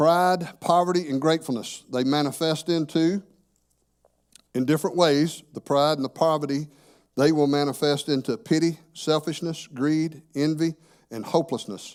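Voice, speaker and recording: A man with a fairly high pitch talks in a normal speaking voice with fairly even intonation, captured in a very clean recording against a silent background. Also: moderate pace. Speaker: church teacher. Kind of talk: sermon.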